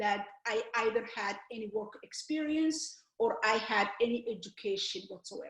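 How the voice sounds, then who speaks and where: A woman with a Somali accent speaks at a fairly high pitch. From Somalia. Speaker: author and educator. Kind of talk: interview. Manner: halting.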